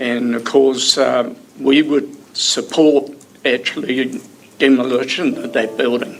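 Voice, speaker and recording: Amid noticeable background noise and audible room echo, a man with a New Zealand accent talks very slowly at a medium pitch with fairly even intonation. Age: 70s. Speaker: member of the public making a submission. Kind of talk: public submission at council hearing.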